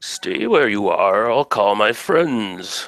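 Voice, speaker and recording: A man's medium-pitched, put-on character voice at a very slow pace. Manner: commanding, ominous.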